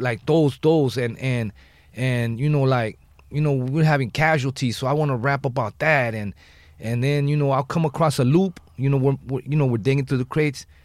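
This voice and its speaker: The speaker has an American accent and a normal speaking voice, moving at a moderate pace with fairly even intonation. The recording is very clean, with a silent background. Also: man, medium pitch for a man. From Los Angeles, West Side. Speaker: rapper. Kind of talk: casual chat. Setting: studio.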